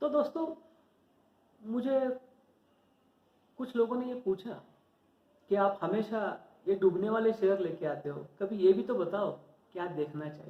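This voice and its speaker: Speaking with a high pitch, a man pauses long and often. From Maharashtra, India. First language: Marathi (speaking Hindi). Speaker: stock market educator, YouTuber. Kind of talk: informal tutorial talk to viewers. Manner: halting, self-correcting.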